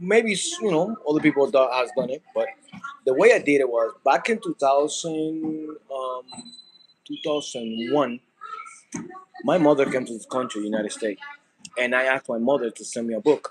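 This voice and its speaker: A man's fairly high voice with a Spanish accent, moderate pace, lively intonation, big swings in loudness and long, frequent pauses. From Dominican Republic. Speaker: content creator. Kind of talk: casual vlog monologue. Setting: cooking at home. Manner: halting, many fillers.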